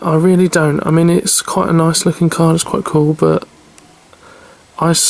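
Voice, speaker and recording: A moderate pace of talk against noticeable background noise. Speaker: card collector. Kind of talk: casual talk to camera, card opening.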